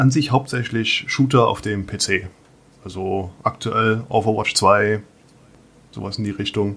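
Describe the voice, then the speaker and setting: A man speaks at medium pitch with ordinary pitch variation. His tone is bright and sharp. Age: 30s. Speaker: metalworker and podcaster. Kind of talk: casual interview.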